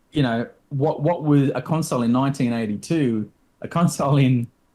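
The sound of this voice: A man's dark, mellow tone at a fairly quick pace, with ordinary pitch variation. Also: medium pitch for a man.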